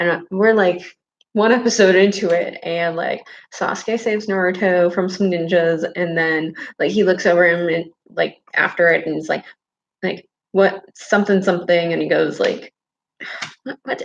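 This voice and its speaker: A woman at a medium pitch, moderate pace and fairly even intonation. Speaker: video creator talking to viewers. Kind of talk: casual livestream chat. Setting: library. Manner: monotone.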